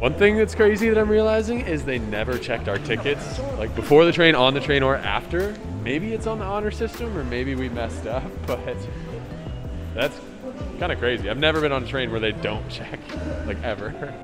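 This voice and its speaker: A man talks at a fairly quick pace. Music can be heard clearly behind him. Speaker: travel vlogger. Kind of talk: casual vlog chat. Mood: amused, excited. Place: station. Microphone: lapel.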